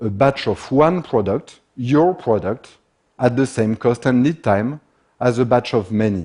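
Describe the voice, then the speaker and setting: Against a quiet background, a man with a French accent speaks at a medium pitch and moderate pace, his dark, mellow tone carrying lively intonation. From France. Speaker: speaker on manufacturing and economics. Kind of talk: talk to an audience.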